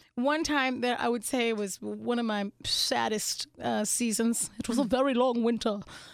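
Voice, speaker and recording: A woman with an American accent speaks in an ordinary speaking voice, fairly high in pitch and fairly even in intonation. She keeps a moderate pace with hardly any pauses. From Pittsburgh, Pennsylvania and Phoenix, Arizona. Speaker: comedian. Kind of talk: casual interview.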